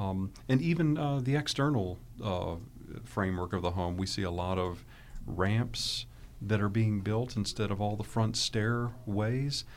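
This man speaks at a fairly slow pace with a fairly low pitch. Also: ordinary pitch variation. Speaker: home care agency founder. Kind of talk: interview discussion. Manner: hesitant, filler-heavy.

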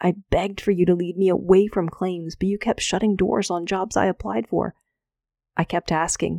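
In a very clean recording with a silent background, a woman speaks at medium pitch and a moderate pace. Her tone is warm, dark and mellow, with fairly even intonation. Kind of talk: fervent personal prayer spoken aloud to God. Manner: earnest, heartfelt, pleading; conversational, sincere, warm.

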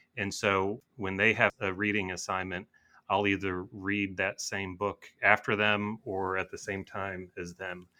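A man with an American accent speaks at a fairly slow pace in a fairly low pitch, his tone bright and sharp, his intonation flat and monotone. The recording is very clean, with a silent background. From western Michigan. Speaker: attorney and author. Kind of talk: interview.

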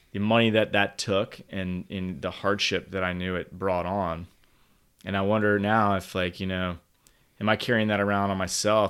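Someone with an American accent talks in a flat monotone at a moderate pace over a silent background in a very clean recording. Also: man. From Virginia. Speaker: father. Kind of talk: casual chat.

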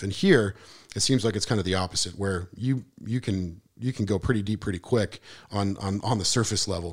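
An ordinary speaking voice from a man with an American accent, fairly low in pitch with fairly even intonation, on a very clean recording with a silent background. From Montana, Missoula. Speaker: musician and marketer, transplant resident. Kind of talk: casual interview.

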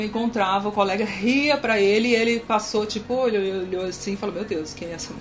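The speech moves at a fairly quick pace with fairly even intonation. Audible room echo and noticeable background noise are present. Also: woman. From Brazil, Brasília. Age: 30s. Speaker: military police sergeant and church worship leader. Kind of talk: casual interview.

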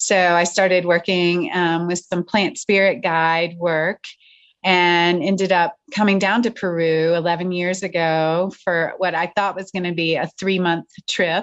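A woman speaks at a fairly slow pace in a fairly low pitch, her intonation flat and monotone. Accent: American. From United States. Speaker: spiritual teacher. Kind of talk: interview. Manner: hesitant, many fillers.

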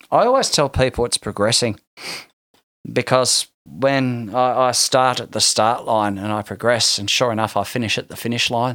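Someone with an Australian accent speaks at a moderate pace with fairly even intonation, in a dry, close sound without echo. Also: man, medium pitch for a man. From Tasmania, Australia. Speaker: musician. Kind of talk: casual chat. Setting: studio.

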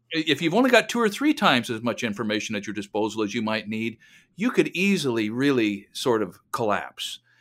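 Over a silent background in a very clean recording, a man talks at a fairly quick pace with a medium pitch and lively intonation. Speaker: podcast co-host. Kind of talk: casual chat. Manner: articulate, orator-like.

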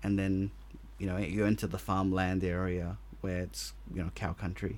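In an Australian accent, a man talks at a moderate pace with a fairly low pitch. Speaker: podcast host. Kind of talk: casual chat.

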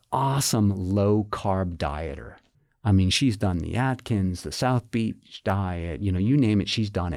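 A man with an American accent speaks at a moderate pace in a plain, everyday voice, fairly low in pitch with ordinary variation. The recording is very clean and the background silent. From Massachusetts. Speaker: clinical psychologist and professor. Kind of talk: interview, explanatory.

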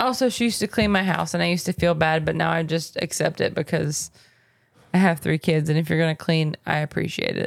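A woman with a fairly low pitch and vocal fry speaks at a fairly quick pace. Her loudness is very even on a very clean recording with a silent background. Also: ordinary pitch variation. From US South. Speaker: podcast co-host and nurse. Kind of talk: casual chat. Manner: animated.

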